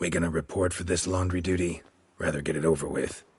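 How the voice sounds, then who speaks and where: In a put-on character voice, a man talks very fast with a raspy, very deep, low pitch. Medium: video game. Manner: terse, dry, low-key.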